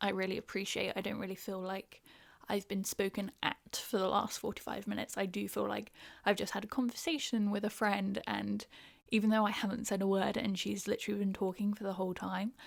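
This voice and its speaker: A fairly quick pace in a southern English accent, on a very clean recording with a silent background. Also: woman. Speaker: podcast host. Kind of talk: casual chat. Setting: home recording. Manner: fast; animated.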